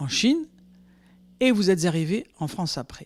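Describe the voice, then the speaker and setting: Silence surrounds the voice in a very clean recording. The delivery is fairly slow. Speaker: interviewer. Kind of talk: interview questions.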